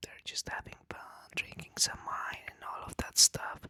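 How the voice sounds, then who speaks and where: A man whispers, recorded dry and close with no echo. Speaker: ASMR creator. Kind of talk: boyfriend roleplay whisper ramble for relaxation. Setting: close-mic recording. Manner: whispered, soft, casual.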